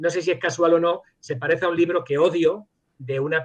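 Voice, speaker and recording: With ordinary pitch variation, a man's voice comes out somewhat breathy. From Spain, Madrid; teen years in Germany. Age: 60s. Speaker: virologist, professor and author. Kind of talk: interview. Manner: hesitant, many fillers and restarts.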